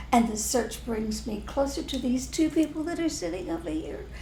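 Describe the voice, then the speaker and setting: A woman with an American accent talks at a moderate pace in a high pitch. Audible room echo and noticeable background noise surround her voice. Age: old. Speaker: spiritual teacher. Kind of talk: casual chat.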